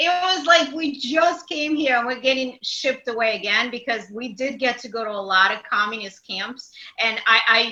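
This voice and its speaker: Speaking with a Russian accent, a woman with a high pitch keeps a moderate pace, ordinary pitch variation and hardly any pauses. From Ukraine. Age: 40s. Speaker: matchmaker. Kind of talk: casual chat.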